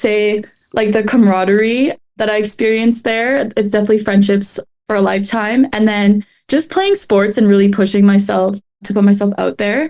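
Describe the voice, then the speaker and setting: With a Canadian accent, a woman speaks at a moderate pace in a fairly high pitch, her tone dark and mellow. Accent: Canadian, mistaken for American. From Canada. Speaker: student athlete, podcast guest. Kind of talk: casual interview.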